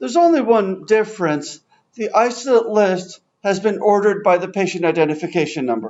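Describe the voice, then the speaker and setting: Talking at a very fast pace, a man uses lively intonation and a high pitch. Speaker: software trainer. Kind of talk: software demonstration workshop.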